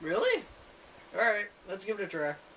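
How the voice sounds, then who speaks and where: A put-on character voice comes at a fairly high pitch and a fairly quick pace. Clear background noise is present. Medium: read story.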